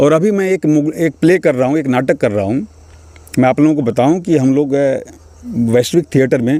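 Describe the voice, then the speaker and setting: Dark and mellow in tone, a man speaks at a fairly high pitch and a moderate pace. His intonation is lively. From Mithila region, Bihar, India. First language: Maithili (speaking Hindi). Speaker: stage and film actor. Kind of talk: interview.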